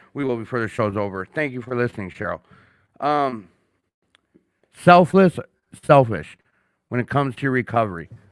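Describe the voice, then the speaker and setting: A man with an American accent speaks at a medium pitch with lively intonation and a moderate pace, taking long, frequent pauses, in a dry, close sound with no echo. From Minnesota. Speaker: podcast host. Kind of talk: casual chat. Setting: studio. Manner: animated.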